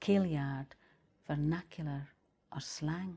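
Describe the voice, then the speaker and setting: A woman in a Shetland accent at a fairly slow pace. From Shetland, Scotland. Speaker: poet. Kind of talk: poetry reading.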